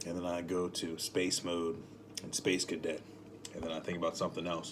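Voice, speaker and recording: A man's voice comes through, very deep and low in pitch. He keeps a moderate tempo. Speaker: spiritual motivational vlogger. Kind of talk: casual monologue. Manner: rambling, self-correcting.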